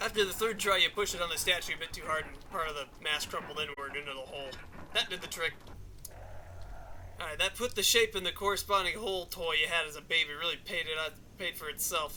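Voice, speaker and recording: This man's pitch sits high, and its variation is ordinary. He gets his words out at a very fast pace. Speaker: gamer reading modded game text. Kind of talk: comic reading of game text.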